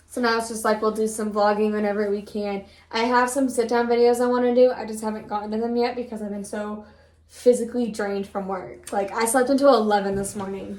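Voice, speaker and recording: With a fairly high pitch, a woman speaks at a very fast pace in a flat monotone, with audible room echo and noticeable background noise. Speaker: vlogger. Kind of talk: casual chat. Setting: at home.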